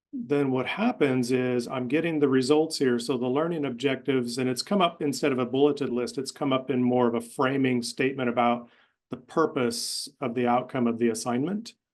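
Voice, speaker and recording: Speaking at a fairly quick pace with hardly any pauses, a man keeps a medium pitch and fairly even intonation. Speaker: webinar presenter demonstrating a course design tool. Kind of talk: software demo in a webinar. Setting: online webinar. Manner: fast.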